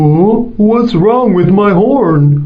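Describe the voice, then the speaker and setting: A put-on character voice from a man, high-pitched, with lively intonation. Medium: read story.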